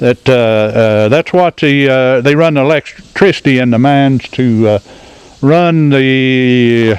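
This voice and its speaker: The speaker has an Appalachian accent and a fairly slow pace. Loudness stays very even, with ordinary pitch variation. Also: man, medium pitch for a man. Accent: Appalachian Southern US. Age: 70s. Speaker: retired coal miner. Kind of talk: guided tour talk. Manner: hesitant, folksy.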